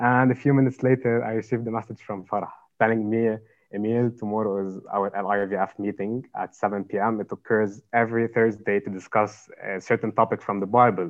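In a Lebanese accent, a man talks at a fairly quick pace and fairly low pitch, with monotone, flat intonation. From Lebanon. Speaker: university student. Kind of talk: interview, personal testimony. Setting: video call.

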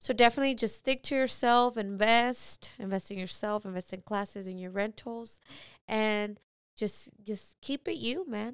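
On a very clean recording with a silent background, a woman speaks at a moderate pace in a fairly high pitch, with ordinary pitch variation and big swings in loudness. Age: 20s. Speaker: event stylist and balloon artist instructor. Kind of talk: casual chat.

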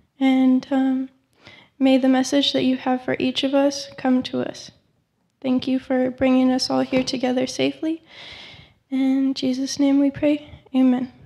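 A woman talks at a fairly slow pace with long, frequent pauses. Her high-pitched voice stays monotone and flat. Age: young. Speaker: scripture reader. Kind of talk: reading aloud.

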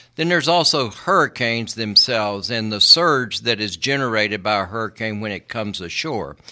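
A man with an American accent talks at a fairly quick pace, with hardly any pauses and lively intonation. His pitch is medium, and there is noticeable background noise. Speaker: environmental lawyer. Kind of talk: radio interview. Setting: studio.

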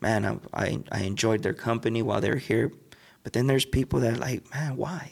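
At a fairly quick pace, a man with a medium pitch speaks with vocal fry and ordinary pitch variation. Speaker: podcast host. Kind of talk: casual interview chat.

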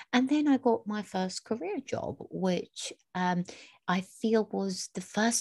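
A woman with lively intonation sounds somewhat breathy in a dry, close recording with no echo. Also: quiet background. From Iraq. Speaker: podcast co-host. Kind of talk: casual chat.

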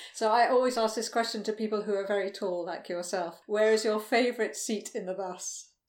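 An unremarkable speaking voice from a woman, fairly high in pitch, fairly quick with hardly any pauses and fairly even intonation. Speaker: podcast host and former shop owner. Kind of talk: casual interview chat. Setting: video call.

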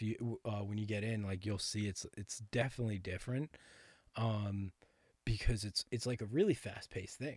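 A man speaks at a moderate pace with an American accent, his pitch fairly low and his intonation fairly even, in an unremarkable speaking voice. The recording is very clean, with a silent background. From Connecticut, near New York City. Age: 20s. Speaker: actor and bodybuilder. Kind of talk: casual chat.

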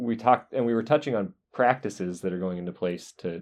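A man with an American accent and a normal speaking voice, fairly low in pitch, at a moderate pace with ordinary pitch variation. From US South, North Carolina. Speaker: podcast host, geologist. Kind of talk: interview. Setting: university office.

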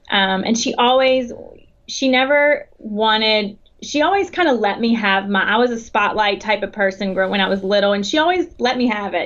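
This woman has a Southern US accent. She talks at a moderate pace. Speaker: athletic academic advisor. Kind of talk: interview. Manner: halting.

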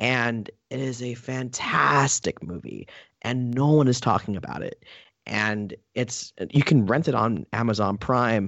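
In a plain, everyday voice, a man talks at a fairly slow pace and medium pitch, with ordinary pitch variation. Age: 30s. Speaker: film reviewer. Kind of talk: casual chat.

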